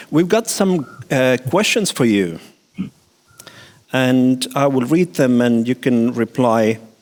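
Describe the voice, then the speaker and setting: A man with an Estonian accent talks at a very slow pace, medium in pitch with lively intonation. His loudness stays very even, broken by long, frequent pauses. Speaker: conference moderator. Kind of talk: moderating Q&A.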